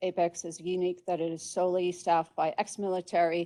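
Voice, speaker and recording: With a fairly low pitch, this woman has a dark, mellow tone and a monotone, flat intonation. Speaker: college administrator. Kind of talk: presentation to staff. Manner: fast.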